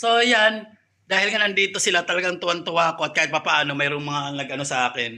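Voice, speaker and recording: A man's high voice at a fairly quick pace. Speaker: vlogger. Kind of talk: casual vlog chat. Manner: soft-spoken, keeping voice down.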